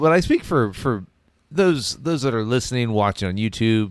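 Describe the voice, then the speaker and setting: A plain, everyday voice from a man, fairly low-pitched with lively intonation. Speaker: podcast host. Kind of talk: casual banter podcast. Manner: laughs often, talks over partner.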